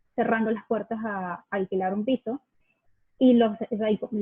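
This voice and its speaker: This woman has a fairly high pitch and fairly even intonation. She talks at a moderate pace. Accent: Venezuelan. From Venezuela. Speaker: accent campaign ambassador. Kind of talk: interview. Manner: hesitant, many fillers.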